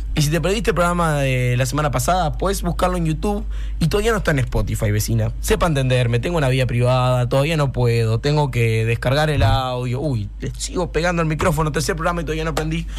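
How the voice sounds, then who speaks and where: Delivered at a very fast pace with very even loudness, the speech has audible room echo and noticeable background noise. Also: man. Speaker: radio host. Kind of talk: casual radio show and interviews. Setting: radio studio. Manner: animated.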